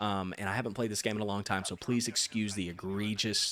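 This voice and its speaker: A soft-spoken man talks at a fairly quick pace in a fairly low pitch. His intonation is monotone and flat, on a very clean recording with a silent background. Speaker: gaming YouTuber. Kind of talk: casual gameplay commentary. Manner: hesitant fillers.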